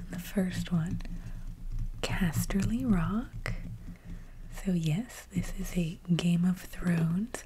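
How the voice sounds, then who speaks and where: Soft-spoken and calm in tone, a woman talks at a very slow pace with long, frequent pauses. Noticeable background noise sits behind her. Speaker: ASMR content creator and cosplayer. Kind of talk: ASMR show-and-tell, casual talk to camera. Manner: soft-spoken, quiet, calm.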